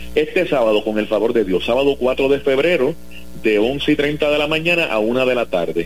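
This man has an unremarkable speaking voice at a medium pitch, with lively intonation, very even loudness and a moderate pace. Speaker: sports radio host. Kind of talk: casual chat.

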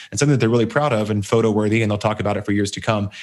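A man at medium pitch with an American accent, on a very clean recording with a silent background. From Texas. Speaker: podcast host, online business coach. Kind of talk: interview podcast chat.

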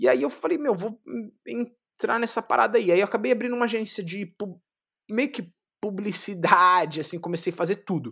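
With lively intonation and a bright, sharp tone, a man speaks at a moderate pace in a high pitch on a very clean recording with a silent background. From São Paulo, Capão Redondo (periphery). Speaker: jiu-jitsu champion. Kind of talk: interview. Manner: animated.

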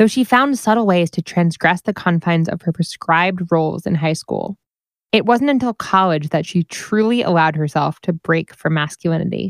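With an American accent, a woman speaks at a moderate pace in a fairly low pitch, her voice an unremarkable speaking voice with ordinary pitch variation. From New Jersey. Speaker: podcast host. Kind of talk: scripted intro and outro.

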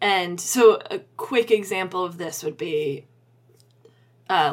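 This woman has an unremarkable speaking voice pitched fairly low. She talks at a fairly slow pace. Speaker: podcast host and author. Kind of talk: casual chat about writing craft.

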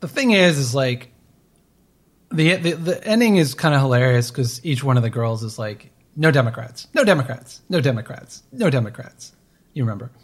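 A man's medium-pitched, somewhat breathy voice with an American accent, lively intonation and a moderate pace. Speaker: podcast co-host. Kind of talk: casual chat. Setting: remote recording.

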